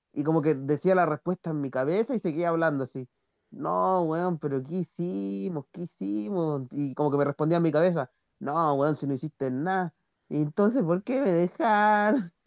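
A man with a Chilean accent and a fairly high pitch, at a moderate pace, in a dry, close sound with no echo and a quiet background. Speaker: podcast co-host. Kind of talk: casual chat.

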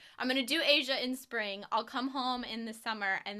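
A woman speaks fairly quickly in a fairly high, bright, sharp voice with an American accent. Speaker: podcast host. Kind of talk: casual chat. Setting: video call. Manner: fast talker; mumbles.

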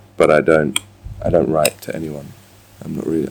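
Talking at a fairly quick pace, a man uses a very deep, low pitch with vocal fry and a dark, mellow tone. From Scotland and England, army childhood. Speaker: chef. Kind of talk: casual interview. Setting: outdoors.

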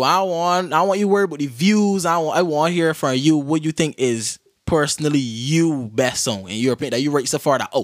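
In a very clean recording with a silent background, a man with a plain, everyday voice talks at a fairly quick pace and fairly high pitch, with lively intonation and hardly any pauses. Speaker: podcast host. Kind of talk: casual interview.

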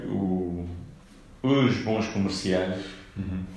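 A man is heard over noticeable background noise. There is audible room echo. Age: 30s. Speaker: real estate broker. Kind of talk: interview. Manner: hesitant with fillers.

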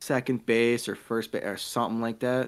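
A man is speaking. His pitch is medium. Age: 20s. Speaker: podcast co-host. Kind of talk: casual chat.

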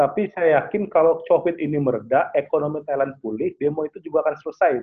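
Big swings in loudness mark this man's very fast speech at a fairly high pitch. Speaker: international relations analyst. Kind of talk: online webinar talk. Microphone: connection dropped.

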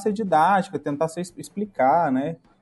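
With music in the background, a man talks at a fairly high pitch with lively intonation. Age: 30s. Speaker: podcast guest. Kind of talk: casual chat. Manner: halting.

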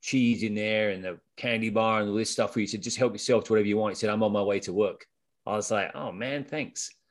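A man with a British accent at medium pitch, with fairly even intonation and a fairly quick pace, in a very clean recording with a silent background. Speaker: ultrarunner and podcast co-host. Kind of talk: casual humorous chat. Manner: witty, humorous.

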